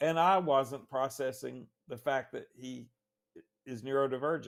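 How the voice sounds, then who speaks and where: With a Southern US accent, a man speaks at a fairly slow pace in a medium-pitched voice. His intonation is fairly even, but his loudness swings widely. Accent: Southern US (Georgia). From Northwest Georgia, US South. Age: 60s. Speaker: author and lawyer. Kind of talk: interview. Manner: halting, repeats words.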